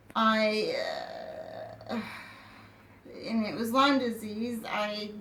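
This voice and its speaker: Against noticeable background noise and audible room echo, the speech keeps a fairly even intonation. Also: woman. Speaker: person with chronic illness telling her story. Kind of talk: personal testimony. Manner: halting, many fillers and restarts.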